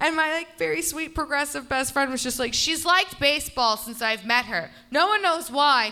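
A woman projects a raised voice with a high pitch and a bright, sharp tone. Her pitch swings very widely at a moderate pace. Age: 30s. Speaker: comedian. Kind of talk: casual chat. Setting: stage with audience.

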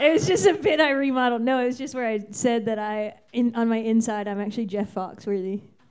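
With an American accent and a fairly high pitch, a woman talks at a very fast pace with hardly any pauses and ordinary pitch variation, over noticeable background noise. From Virginia, Fairfax County. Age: 30s. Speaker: stand-up comedian. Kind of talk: stand-up. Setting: stage with audience.

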